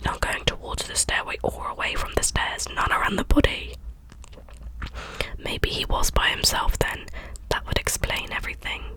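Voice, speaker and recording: Whispered words at a moderate pace, with noticeable noise in the background. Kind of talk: audiobook-style reading, ASMR bedtime reading. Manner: soft-spoken.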